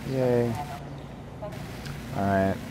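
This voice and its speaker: With noticeable background noise, a man speaks at a moderate pace in a medium pitch and a relaxed tone. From Canada. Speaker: game streamer. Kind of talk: live gameplay stream commentary. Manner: speaking quietly; casual, relaxed.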